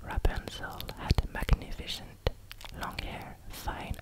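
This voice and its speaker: A whisper at a very slow pace, with noticeable background noise. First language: French. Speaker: ASMR creator. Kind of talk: ASMR fairy tale reading. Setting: close microphone, studio. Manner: whispered.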